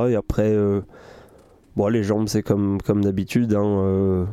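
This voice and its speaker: A man's fairly low, dark and mellow voice in a monotone, flat intonation, at a moderate pace. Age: 20s. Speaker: professional triathlete. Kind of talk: casual interview. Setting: inside a van.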